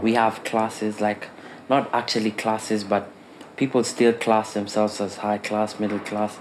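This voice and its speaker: Over noticeable background noise, a man with a fairly low pitch speaks at a moderate pace in a monotone, flat intonation. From Kenya. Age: 20s. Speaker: film student. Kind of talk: personal introduction.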